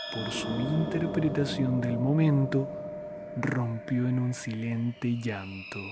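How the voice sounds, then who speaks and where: Over background music, a man at medium pitch speaks very slowly in a solemn, dramatic tone with ordinary pitch variation. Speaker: podcast storyteller. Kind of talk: scripted horror narration, ghost story telling. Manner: slow, solemn, hushed and eerie, with ornate literary phrasing; formal, dramatic and brooding.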